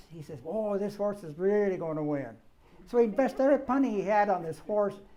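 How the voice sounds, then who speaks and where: A man talks at a fairly quick pace in a high pitch for a man, his tone dark and mellow. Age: 80s+. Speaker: author. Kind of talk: public talk. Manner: halting.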